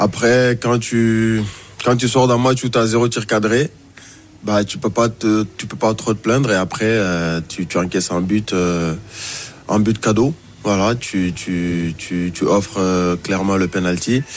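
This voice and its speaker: Male speech, fairly low in pitch, delivered very slowly with ordinary pitch variation. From Mauritania. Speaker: journalist. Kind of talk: radio football discussion. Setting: radio studio.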